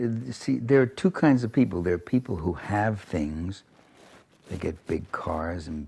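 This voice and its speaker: With very wide pitch swings, a man talks at a moderate pace while noticeable background noise plays. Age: 70s. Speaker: political writer and speaker. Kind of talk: interview.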